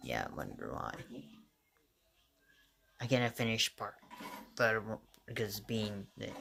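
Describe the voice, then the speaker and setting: Doing a raspy, put-on character voice, a man speaks at a medium pitch and a moderate pace. He leaves long, frequent pauses. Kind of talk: casual video reaction commentary. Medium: puppet. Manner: surprised, exclaiming.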